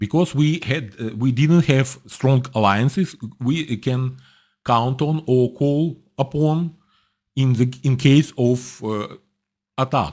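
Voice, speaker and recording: On a very clean recording with a silent background, someone with a Russian accent speaks at a very slow pace with long, frequent pauses and ordinary pitch variation. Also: man, medium pitch for a man. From former Soviet military bases, Ukrainian. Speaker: political commentator. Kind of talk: casual commentary. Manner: halting, many fillers.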